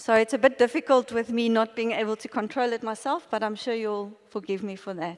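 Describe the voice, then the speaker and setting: A woman speaks at a moderate pace in an ordinary speaking voice, her pitch fairly high with ordinary pitch variation. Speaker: maths education lecturer. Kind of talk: conference presentation. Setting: stage with audience. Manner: interactive, questioning audience.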